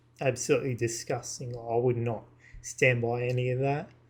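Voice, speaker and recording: In a very clean recording with a silent background, a man talks at a moderate pace and medium pitch. His voice is somewhat breathy, with monotone, flat intonation. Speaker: YouTuber / vlogger. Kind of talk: casual monologue to camera. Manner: halting, with many fillers; partly reading from screens.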